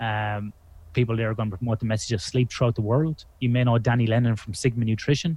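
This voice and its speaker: In an Irish accent, a man talks at a very fast pace and medium pitch. His voice is somewhat breathy, with fairly even intonation. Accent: Irish accent, often mistaken for Australian. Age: 40s. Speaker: sleep researcher. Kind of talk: podcast interview.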